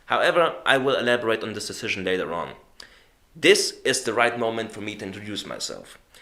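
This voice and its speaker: Talking at a very fast pace with a non-native accent, a man's voice shows big swings in loudness. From Germany. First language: German. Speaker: YouTube reviewer. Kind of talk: video review narration.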